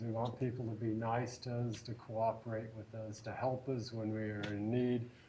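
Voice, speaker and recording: Heard with audible room echo, a man speaks at a fairly slow pace. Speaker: psychology lecturer. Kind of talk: lecture. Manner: projecting voice loudly.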